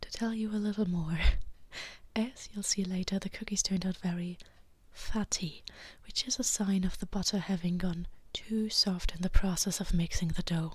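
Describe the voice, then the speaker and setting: Somewhat breathy, a woman talks at a medium pitch and moderate pace with fairly even intonation. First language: not English. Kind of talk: casual vlog talk to camera. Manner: soft-spoken.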